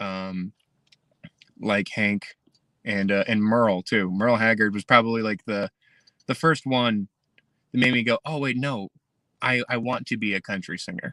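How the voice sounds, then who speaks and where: A man with an American accent speaks at a moderate pace, using long, frequent pauses, a fairly low pitch, ordinary pitch variation, and a bright, sharp tone. The recording is very clean with a silent background, dry and close with no echo. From Pennsylvania (Hazleton). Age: 20s. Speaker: country singer-songwriter. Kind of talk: interview. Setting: live stream interview. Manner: halting, many fillers and repeats.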